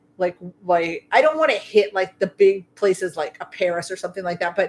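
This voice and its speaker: With an American accent, a woman speaks in an ordinary speaking voice at a fairly quick pace, with medium pitch and ordinary pitch variation. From US Midwest (South Dakota). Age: 50s. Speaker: streamer. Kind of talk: casual chat. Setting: livestream.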